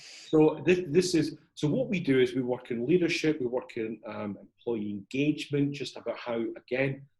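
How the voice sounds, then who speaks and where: A man speaks at a moderate pace with a Scottish accent. His voice is fairly high and somewhat breathy. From Edinburgh, Scotland. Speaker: CEO and corporate trainer. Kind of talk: interview answer.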